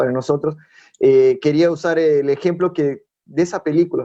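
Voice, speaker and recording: Using a dark, mellow tone, a man talks at a moderate pace with a Brazilian accent. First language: Portuguese (speaking Spanish). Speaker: youth preacher. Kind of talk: sermon. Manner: halting.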